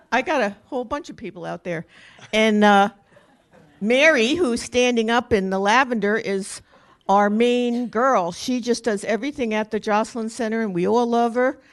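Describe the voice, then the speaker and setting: At a moderate pace, a woman with a strong New Jersey accent speaks at a fairly high pitch with ordinary pitch variation. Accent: New Jersey accent, still strong. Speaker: senior volunteer being honored. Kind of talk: short acceptance remarks. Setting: council chamber with audience.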